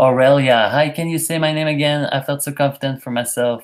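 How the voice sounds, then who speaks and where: A man with a Quebec accent speaks at a fairly quick pace in a fairly high pitch, his intonation fairly even, on a very clean recording with a silent background. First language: French. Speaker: YouTuber. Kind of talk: live stream chat reading comments. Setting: live stream.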